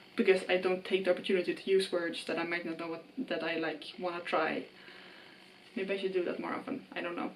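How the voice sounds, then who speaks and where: Talking at a fairly quick pace in a Swedish accent, a woman with a medium pitch shows big swings in loudness. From Sweden. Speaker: book vlogger. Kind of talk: casual vlog monologue. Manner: casual with fillers.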